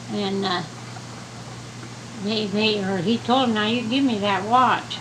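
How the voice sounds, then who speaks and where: Noticeable background noise is present. The voice carries an American accent. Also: woman. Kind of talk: storytelling to a child. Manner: casual, folksy.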